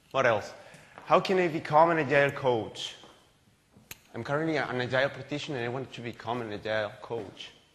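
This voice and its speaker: Talking at a fairly quick pace with long, frequent pauses, the speaker shows ordinary pitch variation and big swings in loudness against audible room echo. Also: man, medium pitch for a man. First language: Spanish. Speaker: agile coach, conference speaker. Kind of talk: conference talk. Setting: stage with audience. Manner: halting, self-correcting.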